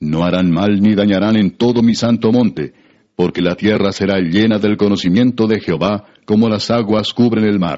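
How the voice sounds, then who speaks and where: An ordinary speaking voice from a man, fairly low-pitched at a moderate pace, with fairly even intonation and very even loudness. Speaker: scripture narrator. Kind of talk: scripture reading, solemn literary narration. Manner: measured, formal, steady.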